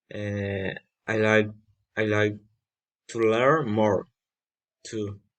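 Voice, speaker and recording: With a Colombian accent, a man talks at a very slow pace in a fairly low voice, his intonation fairly even and his pauses long and frequent. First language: Spanish. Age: 20s. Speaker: language student. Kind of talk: class assignment self-introduction. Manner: halting.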